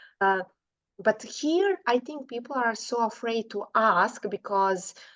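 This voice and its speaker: A woman with a non-native accent speaks fairly slowly with lively intonation at a fairly high pitch. The sound is dry and close with no echo, over a quiet background. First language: not English. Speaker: podcast host. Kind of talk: interview conversation.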